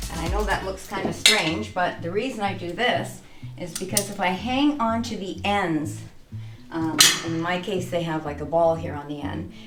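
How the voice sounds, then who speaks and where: The voice moves through very wide pitch swings. Audible room echo and noticeable background noise fill the recording. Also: woman, fairly low pitch for a woman, moderate pace. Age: 60s. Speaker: personal trainer. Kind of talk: tutorial. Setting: home gym. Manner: casual.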